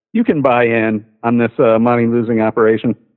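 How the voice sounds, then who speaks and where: A man talks at a moderate pace in a medium pitch. His is a normal speaking voice. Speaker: caller, former cook. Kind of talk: casual chat. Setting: phone call.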